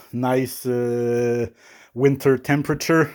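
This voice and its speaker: Someone with a French Canadian accent talks at a very slow pace on a very clean recording with a silent background. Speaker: coffee equipment reviewer. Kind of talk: product review. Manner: hesitant, many fillers.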